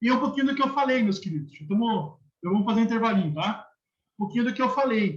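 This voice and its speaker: A man's high-pitched voice, very fast pace and lively intonation. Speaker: university lecturer. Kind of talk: lecture.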